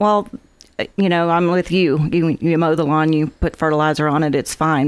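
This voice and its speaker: Talking at a moderate pace with an American accent, a woman has a very deep, low voice and fairly even intonation. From US South. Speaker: golf course manager. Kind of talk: radio interview. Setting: studio.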